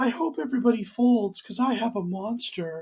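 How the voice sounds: This is a put-on character voice with a fairly high pitch. It moves at a fairly quick pace.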